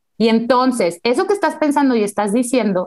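Against a quiet background, a woman with a fairly high pitch talks at a moderate pace with very wide pitch swings. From Mexico. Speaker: neuropsychologist; guest. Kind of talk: interview. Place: home room. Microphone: earbuds.

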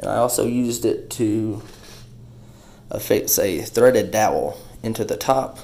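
A man speaks at a fairly slow pace with long, frequent pauses. Audible room echo surrounds his voice. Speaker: woodworking and homestead video maker. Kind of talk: tutorial. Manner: casual.

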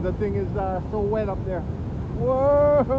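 A man is speaking over loud background noise. The sound is dry with no echo. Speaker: travel vlogger. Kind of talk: casual vlog chat. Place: waterside. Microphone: phone near.

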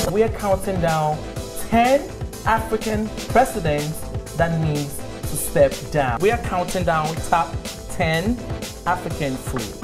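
With clear music behind him, a man speaks at a very slow pace in a fairly high pitch, using lively intonation and long, frequent pauses. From Ghana. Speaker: TV host. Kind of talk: TV presenter read to camera. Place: studio.

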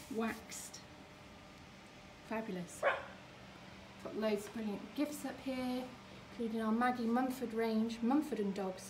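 A woman at a fairly slow pace, with ordinary pitch variation, over noticeable background noise. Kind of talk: casual store tour commentary. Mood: cheerful, enthusiastic. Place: shop. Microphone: phone near.

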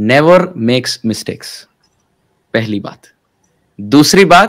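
A man talks at a very slow pace with very wide pitch swings. The background is quiet. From Mumbai, India; India. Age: 20s. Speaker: spiritual teacher. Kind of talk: interview. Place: home room. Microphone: webcam.

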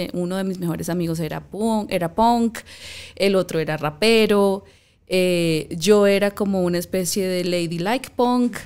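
A woman takes a fairly slow pace, her pitch shifting in an ordinary way. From Colombia, Valledupar. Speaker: podcast host. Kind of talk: interview conversation. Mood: warm, engaged. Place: studio. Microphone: studio mic.

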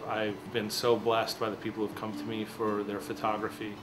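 Clear background music behind a male speaker. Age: 40s. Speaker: photographer. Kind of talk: interview testimony. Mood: warm, reflective. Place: home room.

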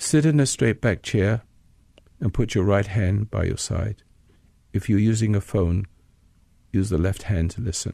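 In an American accent, the speaker uses a calm, dark, mellow tone at a fairly slow pace with ordinary pitch variation and long, frequent pauses, in a dry, close sound with no echo. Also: man, fairly low pitch for a man. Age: 80s. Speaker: radio host and meditation teacher. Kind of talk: guided meditation. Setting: studio recording. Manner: calm, slow, instructional.

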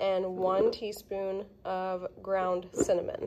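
A woman's voice over light background noise. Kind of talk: tutorial. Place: kitchen. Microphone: phone near.

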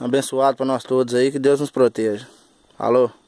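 A man's fairly high pitch with a dark, mellow tone and monotone, flat intonation, in a dry sound with no echo over a quiet background. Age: 20s. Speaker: backhoe operator vlogger. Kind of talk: casual vlog monologue. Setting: outdoors at a road worksite. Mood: humble, friendly. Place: open country.

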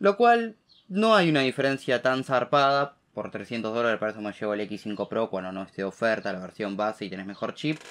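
A man speaks at a moderate pace with a Rioplatense accent. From Argentina. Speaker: tech YouTuber. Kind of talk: tech news commentary to camera. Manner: casual, many fillers. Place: home room.

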